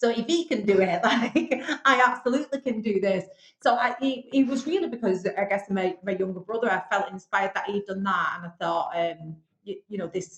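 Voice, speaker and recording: A fairly quick, somewhat breathy delivery. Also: woman, medium pitch for a woman. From northern England, Bolton. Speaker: business owner, television show finalist. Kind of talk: podcast interview.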